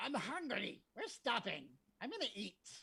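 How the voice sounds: In a put-on character voice, a female-sounding speaker goes at a fairly slow pace with a high pitch for a woman.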